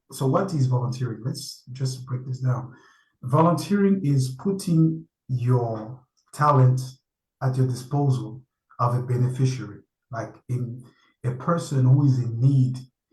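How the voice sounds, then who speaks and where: Somewhat breathy, a man with a French accent pauses long and often, with audible room echo around him. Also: medium pitch for a man, ordinary pitch variation, fairly slow pace. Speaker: panel speaker. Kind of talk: online conference talk. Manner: halting.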